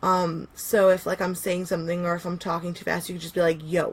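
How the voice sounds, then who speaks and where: At a moderate pace, a woman speaks in a fairly low, somewhat breathy voice with monotone, flat intonation. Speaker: pagan teacher. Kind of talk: live stream workshop. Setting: live stream. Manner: casual with many fillers.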